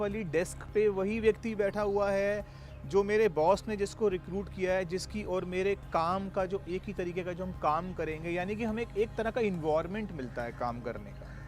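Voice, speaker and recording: A man speaks in a high voice with ordinary pitch variation. He hardly pauses at all. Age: 40s. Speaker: network marketing distributor. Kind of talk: testimony.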